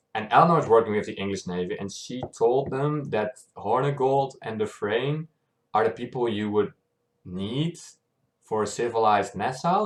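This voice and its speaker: He is a man with a non-native accent. His pace is moderate. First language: not English. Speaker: YouTube reactor. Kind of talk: casual recap monologue. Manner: hesitant, many fillers.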